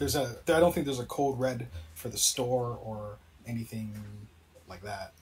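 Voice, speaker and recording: At a moderate pace, a somewhat breathy man with a medium pitch and ordinary pitch variation speaks with big swings in loudness and long, frequent pauses. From Canada. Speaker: gamer. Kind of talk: casual chat.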